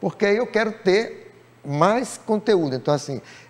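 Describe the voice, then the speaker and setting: The speaker is a man. He talks at a moderate pace. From Rio Grande do Norte, Brazil. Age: 60s. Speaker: writer and playwright. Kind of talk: TV interview.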